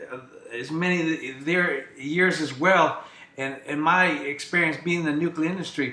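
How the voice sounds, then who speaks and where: Amid noticeable background noise and audible room echo, a man speaks at a fairly high pitch and moderate pace, with fairly even intonation and big swings in loudness. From US Midwest, Ohio. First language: Greek. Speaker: staffing business owner. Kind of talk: talk show interview.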